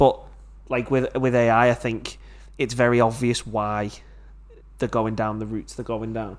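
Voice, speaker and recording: With a Liverpool accent, a man talks in an animated tone, leaving long, frequent pauses. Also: medium pitch for a man, moderate pace. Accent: Scouse. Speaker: podcast host. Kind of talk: casual chat. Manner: jokey, animated.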